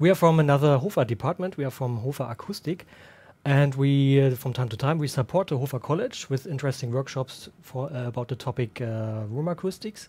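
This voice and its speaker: This man sounds somewhat breathy, with a dark, mellow tone and a German accent. His pitch is fairly high, with ordinary variation. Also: fairly quick pace. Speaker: room acoustics consultant. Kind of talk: livestream workshop. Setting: livestream. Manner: halting, with many fillers.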